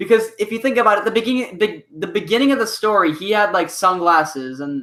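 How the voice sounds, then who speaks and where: The raised, projected voice has a bright, sharp tone and swings very widely in pitch. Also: man. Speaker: web series creator. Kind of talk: live stream Q&A. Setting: live stream. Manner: halting. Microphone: echo.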